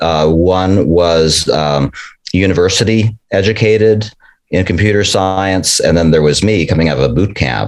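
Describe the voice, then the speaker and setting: The speaker is a man, going at a fairly slow pace. His pitch shows ordinary variation. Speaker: bootcamp graduate, interviewee.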